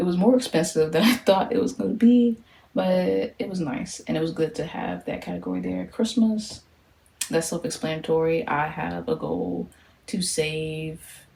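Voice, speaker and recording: Woman's fairly low voice with very wide pitch swings at a moderate pace, against noticeable background noise. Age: 20s. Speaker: social worker. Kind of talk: casual talk to camera.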